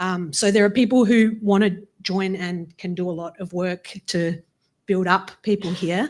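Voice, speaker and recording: A woman with an Australian accent at a medium pitch and moderate pace, fairly even in intonation, on a very clean recording with a silent background. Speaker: law professor. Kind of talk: audience comment at public forum. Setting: in-person event with audience.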